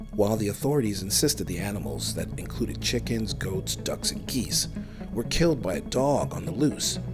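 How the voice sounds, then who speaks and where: A man's very deep, low pitch with very wide pitch swings at a moderate pace, with music in the background. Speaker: podcast host. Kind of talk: paranormal documentary narration.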